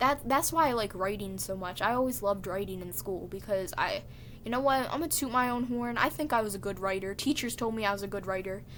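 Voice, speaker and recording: A woman's quiet, medium-pitched voice at a very fast pace with ordinary pitch variation. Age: 20s. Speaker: vlogger. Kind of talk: casual monologue.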